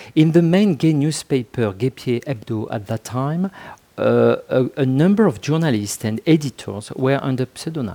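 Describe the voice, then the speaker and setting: Dark and mellow in tone, a man's medium-pitched voice moves at a fairly slow pace with lively intonation. The sound is dry and close, with no echo. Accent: French. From France. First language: French. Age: 50s. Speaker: author and sociologist. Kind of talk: interview. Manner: halting.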